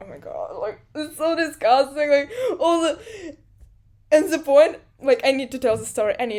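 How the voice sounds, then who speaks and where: With a Russian accent, a woman speaks in a high pitch and lively intonation, with big swings in loudness and long, frequent pauses. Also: moderate pace. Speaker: podcast host. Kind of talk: casual interview chat. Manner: halting.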